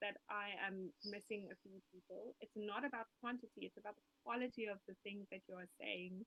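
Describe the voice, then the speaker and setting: A woman with a South African accent speaks at a fairly high pitch. Her pitch varies in an ordinary way. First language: Afrikaans. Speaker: musician and health coach. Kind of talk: interview.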